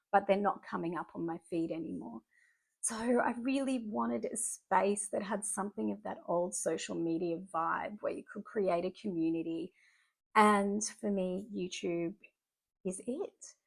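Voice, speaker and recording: In a very clean recording with a silent background, a woman with an Australian accent speaks at a moderate pace with lively intonation. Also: medium pitch for a woman. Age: 40s. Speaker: artist and YouTuber. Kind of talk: casual vlog monologue. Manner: conversational with fillers and restarts.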